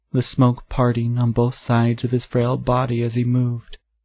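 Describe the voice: Reading aloud, plain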